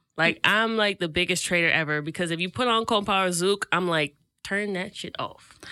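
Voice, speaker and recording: With an American accent, a woman speaks at a moderate pace and medium pitch, her tone bright and sharp and her intonation fairly even. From US, Haitian family (Florida). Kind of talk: casual chat.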